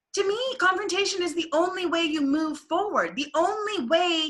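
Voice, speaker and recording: A woman speaks loudly and with an animated tone. Her pace is moderate. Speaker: stage manager. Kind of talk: casual chat.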